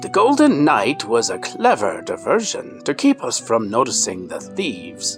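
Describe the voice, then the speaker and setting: Putting on a character voice, a man talks at a moderate pace with hardly any pauses while clear music plays in the background. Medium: read story. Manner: grave, calm.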